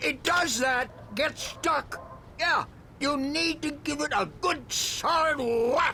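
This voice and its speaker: Over clear background noise, a man does a put-on character voice at an extremely high pitch and a very slow pace. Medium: video game. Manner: jovial, relaxed.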